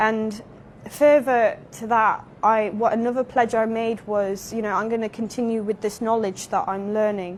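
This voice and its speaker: At a moderate pace, the speaker has an English Midlands accent and fairly even intonation. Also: woman, fairly high pitch for a woman. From England, Derby. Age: 20s. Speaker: convert to Islam, English teacher. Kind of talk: interview testimony.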